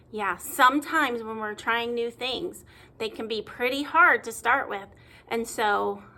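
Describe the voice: Ordinary pitch variation in plain reading aloud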